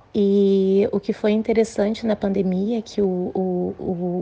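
Dark, mellow tone from a woman at medium pitch, in a monotone, flat intonation. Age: 40s. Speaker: nurse. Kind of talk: recorded testimony.

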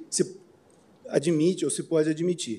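A man's voice, high in pitch, carries a dark, mellow tone. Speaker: lawyer. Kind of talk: oral argument. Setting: court plenary session. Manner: halting.

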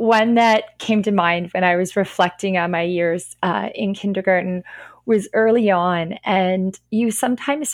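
On a very clean recording with a silent background, a woman with an unremarkable speaking voice talks at a fairly slow pace, medium in pitch with fairly even intonation. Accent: Canadian. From Northern Ontario, Canada. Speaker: kindergarten and grade one French immersion teacher. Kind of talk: podcast interview.

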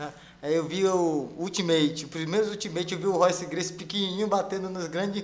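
At a fairly quick pace, a man with a high pitch talks in fairly even intonation, with audible room echo and noticeable background noise. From Pará, Brazil, raised in Rondônia from age 8. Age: 40s. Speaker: jiu-jitsu instructor and world champion. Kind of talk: casual interview chat. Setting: studio, live stream.

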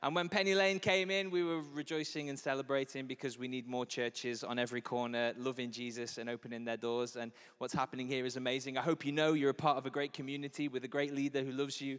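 In a Liverpool accent, a man with a medium pitch talks at a very fast pace with hardly any pauses and an animated tone. His pitch varies in an ordinary way, on a very clean recording with a silent background. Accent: Scouse (Liverpool). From Liverpool, England. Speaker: pastor. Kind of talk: sermon. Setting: church stage with audience.

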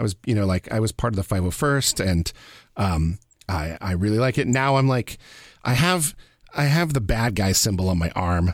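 A man in a normal speaking voice talks at a moderate pace with a fairly low pitch, lively intonation and very even loudness, on a very clean recording with a silent background and a dry, close sound with no echo. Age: 40s. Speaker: radio producer and podcast host. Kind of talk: casual chat.

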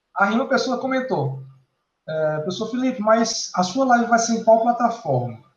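A man speaks at a moderate pace with an extremely high pitch and lively intonation, his voice carrying an audible room echo. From Paraíba, northeastern Brazil. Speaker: electrical engineering professor. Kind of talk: interview.

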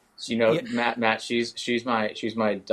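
This is a man speaking. He has an American accent. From Northern California. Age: 20s. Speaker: professional golfer. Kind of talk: interview.

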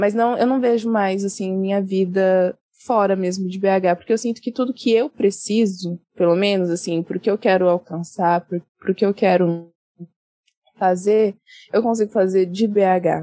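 A woman speaks at medium pitch in a dark, mellow tone, fairly slowly and with fairly even intonation. The sound is dry and close, with no echo. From São Paulo state, Brazil (Osasco, Jundiaí). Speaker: English teacher and writer. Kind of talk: casual interview. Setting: remote call from California.

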